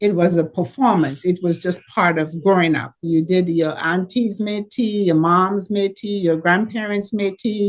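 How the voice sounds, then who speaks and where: A woman with a Caribbean accent at medium pitch, speaking at a fairly slow pace with ordinary pitch variation. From Caribbean, Dominica. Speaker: entrepreneur. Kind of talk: panel talk. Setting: video call.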